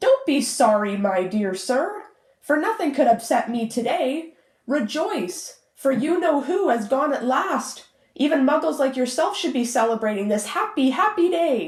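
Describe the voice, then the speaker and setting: A woman puts on a squeaky character voice, pitched high. She moves at a moderate pace with very wide pitch swings. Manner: gleeful.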